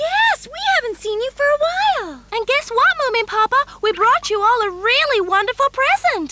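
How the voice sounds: In a cartoonish character voice, extremely high in pitch, the speaker goes at a moderate pace with hardly any pauses.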